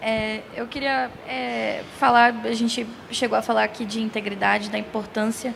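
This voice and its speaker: Noticeable background noise sits behind the speaker. A woman talks at a moderate pace. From Ceará, Brazil (Fortaleza). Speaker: industry panelist. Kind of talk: panel discussion. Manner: hesitant, frequent fillers.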